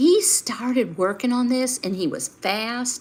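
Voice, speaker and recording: Lively intonation in a Southern US accent, over noticeable background noise. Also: woman. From US South. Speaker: life and finance coach. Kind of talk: live stream talk to viewers. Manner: conversational, with fillers.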